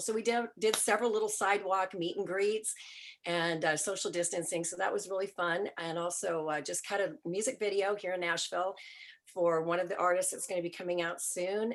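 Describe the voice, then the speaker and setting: A woman with a normal speaking voice talks at a fairly quick pace. Her pitch is medium and her intonation fairly even. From Vancouver, Canada. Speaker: music promoter and manager. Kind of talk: panel discussion.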